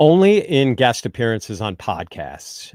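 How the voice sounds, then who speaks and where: A man talks with lively intonation. The sound is dry and close, with no echo. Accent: Midwestern. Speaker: fantasy football analyst. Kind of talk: podcast interview. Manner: casual, with ums and ahs.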